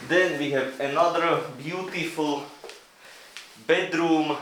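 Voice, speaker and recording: A man is speaking in a room with audible echo. Noticeable background noise is present. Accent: non-native. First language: not English. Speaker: travel vlogger. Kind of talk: casual video tour.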